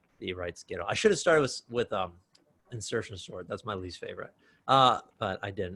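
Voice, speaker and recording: Fairly quick and animated, a man speaks with big swings in loudness. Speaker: coding instructor. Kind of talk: live online lecture.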